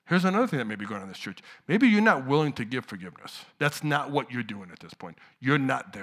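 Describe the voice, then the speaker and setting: Very fast and full of vocal fry, a man's voice makes very wide pitch swings and big swings in loudness, in a very clean recording over a silent background. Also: medium pitch for a man. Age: 50s. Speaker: preacher. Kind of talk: sermon.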